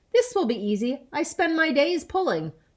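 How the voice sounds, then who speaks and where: A woman does a put-on character voice, squeaky and high-pitched with very wide pitch swings, at a moderate pace. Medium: read story.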